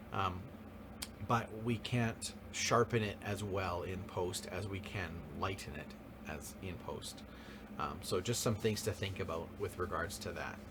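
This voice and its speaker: A man speaks slowly-ish at a fairly slow pace with a fairly low pitch and ordinary pitch variation. Audible room echo and noticeable background noise surround his voice. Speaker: high school photography teacher. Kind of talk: classroom lecture. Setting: live class, recorded. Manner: frequent fillers (um, uh).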